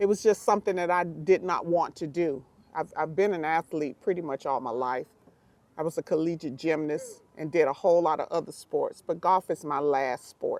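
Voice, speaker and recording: Her pitch fairly low, a woman speaks with a slight Southern US accent and ordinary pitch variation. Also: moderate pace, dry, close sound with no echo. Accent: slight Southern twang. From Miami, Florida. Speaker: pro golfer and youth golf coach. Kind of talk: casual talk to camera. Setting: outdoors in the sun.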